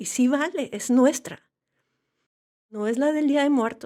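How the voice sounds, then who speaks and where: A woman with a northern Mexican accent speaks with fairly even intonation in a very clean recording with a silent background. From Monterrey, northern Mexico. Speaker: novelist. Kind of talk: interview.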